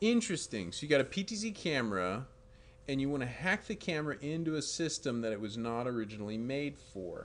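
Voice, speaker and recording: Very wide pitch swings and a fairly quick pace from a man with a fairly high voice. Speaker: live stream host, tech company. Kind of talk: live stream tech Q&A. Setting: live stream. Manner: animated.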